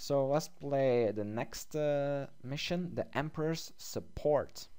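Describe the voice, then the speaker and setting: A man's fairly high voice with a dark, mellow tone, ordinary pitch variation and a very slow pace. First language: not English. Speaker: gaming youtuber. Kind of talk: gameplay commentary. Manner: hesitant with fillers; reads game text aloud.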